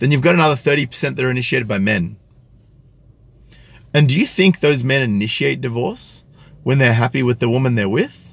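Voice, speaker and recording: A man of medium pitch talks at a fairly quick pace with vocal fry, ordinary pitch variation and long, frequent pauses. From Australia, country New South Wales. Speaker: YouTube commentator. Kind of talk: live stream commentary with chat. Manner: articulate, careful pronunciation; hesitant with fillers.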